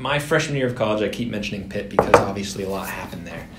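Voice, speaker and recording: A man with an American accent, a fairly low pitch and lively intonation, against loud background noise. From Massachusetts. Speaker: digital advertising worker; podcast co-host. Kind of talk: casual chat. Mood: earnest, reflective about mental health. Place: meeting room. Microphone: camera far.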